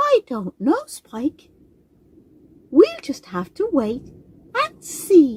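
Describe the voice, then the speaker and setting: A female-sounding, put-on character voice speaks at an extremely high pitch, very slowly, with long, frequent pauses. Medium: read story.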